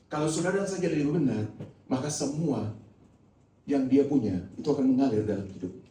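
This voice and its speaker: A man with a fairly high pitch, lively intonation and a very fast pace, amid audible room echo. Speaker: pastor. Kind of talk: sermon. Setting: church.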